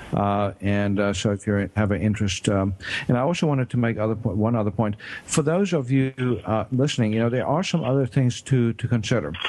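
Here a man speaks at a fairly quick pace with a medium pitch. His loudness stays very even, and his pitch varies in an ordinary way. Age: 50s. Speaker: doctor and radio health show host. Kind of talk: radio talk show interview. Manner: halting, many fillers.

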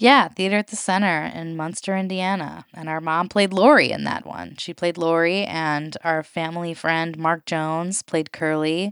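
A woman with a normal speaking voice, fairly low in pitch, speaks at a moderate pace with fairly even intonation, the sound dry and close with no echo over a quiet background. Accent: American. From Colorado, then Chicago area. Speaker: podcast host. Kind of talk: casual chat.

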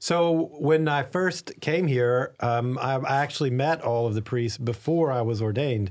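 Speaking at a moderate pace with hardly any pauses, a man with an American accent has an unremarkable speaking voice, medium pitch and ordinary pitch variation. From Arkansas, US South. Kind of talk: interview.

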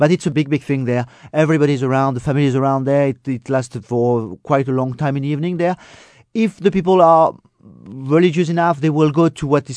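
A fairly high-pitched man with a dark, mellow tone at a fairly quick pace, dry and close with no echo, over a quiet background. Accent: French. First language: French. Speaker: guest from France. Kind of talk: travel advice.

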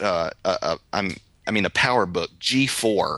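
A man with a strong East Texas accent speaks at a fairly slow pace, the sound dry and close with no echo. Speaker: podcast host, photographer. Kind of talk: casual chat, podcast conversation.

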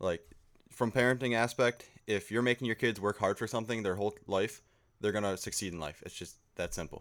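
A man with an American accent, a plain, everyday voice, fairly low pitch, ordinary pitch variation and a fairly quick pace. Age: 20s. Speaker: amateur fisherman. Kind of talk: casual chat.

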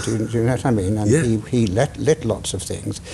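A man at a medium pitch speaks over noticeable background noise, with audible room echo. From Wales, Cardiff. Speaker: theatre director and playwright. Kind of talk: casual interview. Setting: theatre stage. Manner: halting, self-interrupting.

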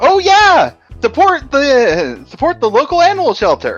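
In a put-on character voice pitched high, the speaker moves at a fairly slow pace with very wide pitch swings, and faint music plays in the background. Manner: exaggerated, cartoony.

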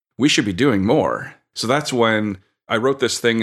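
With a plain, everyday voice and ordinary pitch variation, a man speaks in a very clean recording with a silent background. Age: 40s. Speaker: board game manufacturer and publisher. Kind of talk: casual interview.

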